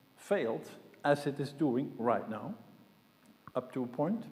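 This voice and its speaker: This man's voice sits fairly high in pitch, with a dark, mellow tone and very wide pitch swings. He talks at a fairly slow pace, and there is audible echo from the room. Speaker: conference speaker, systems modeller. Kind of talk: conference talk.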